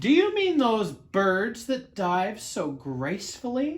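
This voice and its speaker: A loud, fairly high-pitched put-on character voice with very wide pitch swings, at a fairly slow pace. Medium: read story. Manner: loud, hearty.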